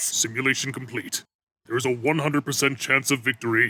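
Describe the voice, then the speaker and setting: A man in a put-on character voice, medium in pitch, at a fairly quick pace. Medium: fan dub. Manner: deadpan, dry.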